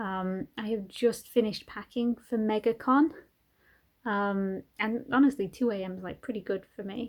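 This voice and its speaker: Heard in a very clean recording with a silent background, a woman with a normal speaking voice and fairly high pitch shows ordinary pitch variation. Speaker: craft vlogger. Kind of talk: casual vlog. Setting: at home at night, then hotel room.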